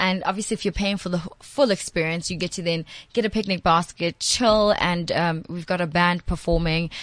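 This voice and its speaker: A woman with fairly low pitch speaks in a normal speaking voice, keeping a moderate pace and fairly even intonation. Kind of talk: casual chat.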